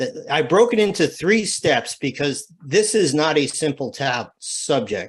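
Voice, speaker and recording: Pitched fairly high, a man's voice moves through very wide pitch swings. He talks with hardly any pauses. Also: fairly slow pace. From New England. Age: 60s. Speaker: church security trainer. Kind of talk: webinar presentation.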